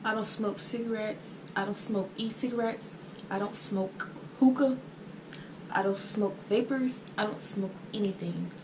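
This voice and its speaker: Noticeable background noise sits behind a woman with a medium pitch. She keeps a moderate pace and fairly even intonation. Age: 20s. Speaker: YouTuber. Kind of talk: casual mukbang vlog. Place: home room. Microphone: camera far.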